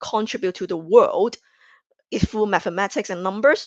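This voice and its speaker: Recorded dry and close with no echo against a quiet background, a woman with a non-native accent speaks at a fairly high pitch. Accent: noticeable non-native. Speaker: conference speaker. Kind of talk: conference presentation. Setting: virtual conference stage. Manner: hesitant, many fillers.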